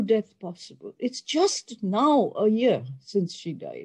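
A woman's pitch swings very widely as she speaks at a very slow pace. The background is quiet. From Pakistan. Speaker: oncologist professor. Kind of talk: lecture. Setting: video call. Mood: somber, earnest. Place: home room.

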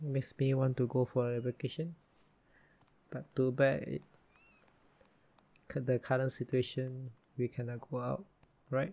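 Whispering and soft-spoken, a man talks at a fairly slow pace in a somewhat breathy voice, leaving long, frequent pauses. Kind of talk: ASMR gaming commentary, casual talk to camera. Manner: soft-spoken, whispered.

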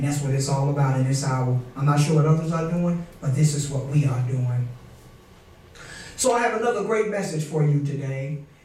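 Amid light background noise and audible room echo, a man speaks fairly quickly with ordinary pitch variation. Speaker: pastor. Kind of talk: sermon. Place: church.

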